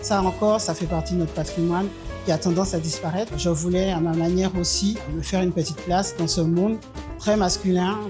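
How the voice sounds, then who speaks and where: Music plays in the background as a woman talks at a fairly quick pace in a fairly low pitch. Her loudness stays very even and her pitch varies in an ordinary way. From Martinique. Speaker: poet, novelist and storyteller. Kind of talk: interview answer. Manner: hesitant, many fillers.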